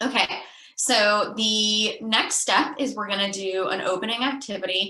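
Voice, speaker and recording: A normal speaking voice, fairly slow, its pitch varying in an ordinary way. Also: woman. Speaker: youth program trainer. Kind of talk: online training presentation.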